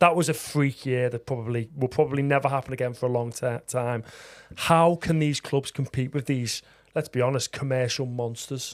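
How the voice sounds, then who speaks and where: A plain, everyday voice from a man, medium in pitch, at a moderate pace with fairly even intonation. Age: 30s. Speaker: podcast host. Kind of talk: podcast interview.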